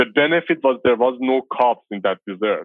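The speaker has a Persian accent and talks at a very fast pace. Pitch variation is ordinary. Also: man. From Iran, Tehran. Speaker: filmmaker and former metal musician. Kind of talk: interview.

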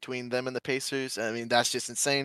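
A man talks very fast in a flat monotone at medium pitch. The sound is dry and close, with no echo. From Michigan. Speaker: sports bettor. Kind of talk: casual chat.

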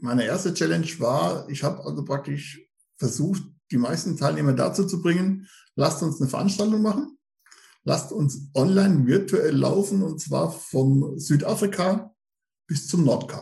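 Speaking at a moderate pace, a man with a dark, mellow tone and vocal fry uses a fairly high pitch with ordinary pitch variation. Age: 50s. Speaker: running group admin, police employee. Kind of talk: casual interview.

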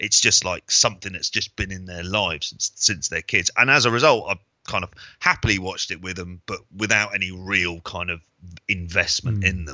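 A very deep, low male voice at a fairly quick pace with ordinary pitch variation. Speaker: wrestling podcast co-host and teacher. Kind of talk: casual chat. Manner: blunt and sweary.

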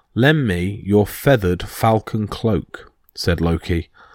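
The background is quiet as a person reads aloud in a natural voice.

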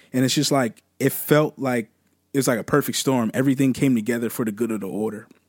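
With an American accent, a man talks at a very fast pace and medium pitch, his intonation fairly even. The recording is very clean with a silent background and a dry, close sound with no echo. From US Northeast, Cherry Hill area, New Jersey. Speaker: behavioral therapist and rapper. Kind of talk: casual chat.

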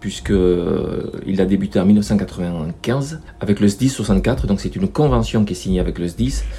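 With noticeable background noise behind him, a man with a very deep, low voice speaks very slowly, his pitch swinging very widely. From French Basque Country, Bidart. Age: 60s. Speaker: local councillor. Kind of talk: podcast interview.

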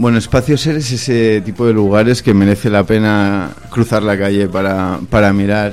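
Using a normal speaking voice, a man with a fairly low pitch and fairly even intonation keeps a moderate pace with hardly any pauses. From Catalonia, Spain (Barcelona). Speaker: chef and restaurant owner. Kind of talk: radio interview. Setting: radio studio.

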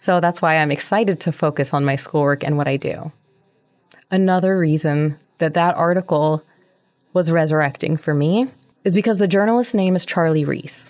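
A woman with an unremarkable speaking voice talks at a moderate pace, her fairly low pitch moving with ordinary variation and her loudness staying very even. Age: 30s. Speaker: podcast host. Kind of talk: solo monologue podcast.

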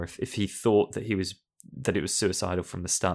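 This man has a very deep, low pitch and ordinary pitch variation. The recording is very clean with a silent background. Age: 30s. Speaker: film podcast guest. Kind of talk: casual chat.

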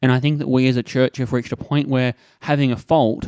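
A man with an Australian accent, fairly quick in pace, monotone and flat in intonation, with a dry, close sound and no echo. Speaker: podcast host and church minister. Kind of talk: solo podcast monologue. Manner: casual with frequent fillers.

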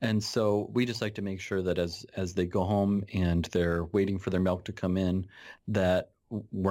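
In a very clean recording with a silent background, a man with an American accent speaks at a moderate pace in a very deep, low pitch, his tone dark and mellow and his intonation fairly even. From Nebraska. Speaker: pediatrician. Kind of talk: interview. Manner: halting.

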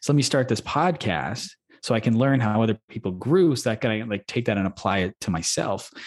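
This man has a plain, everyday voice with a Canadian accent, medium pitch, a fairly quick pace and lively intonation, heard in a dry, close sound with no echo. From Manitoba, Canada. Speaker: podcast host. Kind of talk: casual interview chat.

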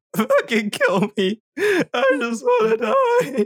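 A high-pitched, put-on character voice speaks at a very slow pace. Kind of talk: comic. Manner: despairing.

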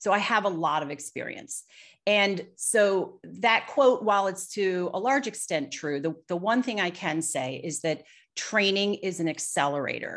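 In a normal speaking voice, a woman talks at a fairly slow pace with a medium pitch. Her intonation is lively, and the background is quiet. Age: 50s. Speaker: business executive. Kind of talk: casual chat.

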